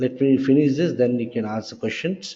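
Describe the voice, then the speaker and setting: This is a plain, everyday voice at a moderate pace with ordinary pitch variation. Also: man. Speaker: software trainer. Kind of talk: lecture.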